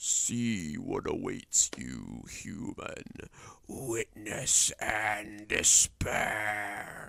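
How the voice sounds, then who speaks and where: A man does a put-on character voice that is raspy, croaky and hissing, speaking at a very slow pace. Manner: menacing.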